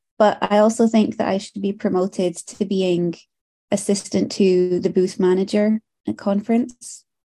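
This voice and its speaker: A woman speaks at a moderate pace in a dark, mellow tone with monotone, flat intonation. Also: medium pitch for a woman. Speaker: body piercer. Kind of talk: casual chat. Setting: video call.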